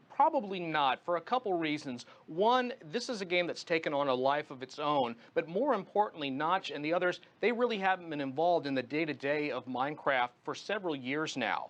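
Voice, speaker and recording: A man with an ordinary speaking voice talks at a fairly quick pace with hardly any pauses. His pitch is fairly high and his intonation lively. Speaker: tech journalist and radio host, guest commentator on a news channel. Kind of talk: television news interview answer.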